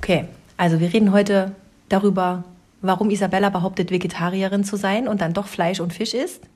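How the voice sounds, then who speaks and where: A woman's somewhat breathy voice at medium pitch, with monotone, flat intonation. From rural Germany. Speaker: podcast co-host. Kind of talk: casual chat.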